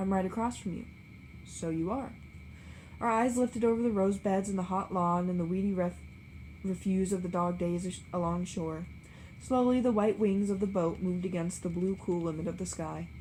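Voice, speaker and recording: Somewhat breathy and dark, mellow in tone, a woman speaks at a moderate pace with fairly even intonation. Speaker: book reader. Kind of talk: reading aloud.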